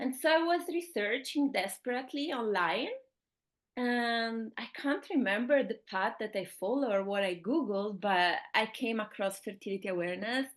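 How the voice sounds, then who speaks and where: A woman's fairly high voice with an Italian accent, lively intonation and a moderate pace against a quiet background. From Italy. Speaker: fertility awareness teacher. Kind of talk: interview.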